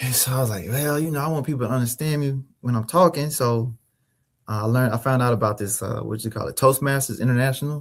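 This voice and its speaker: A man talks very fast in a somewhat breathy voice. His pitch varies in an ordinary way. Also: medium pitch for a man. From Mississippi, US South. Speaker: finance consultant and author. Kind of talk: interview. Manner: hesitant, many fillers and repeats.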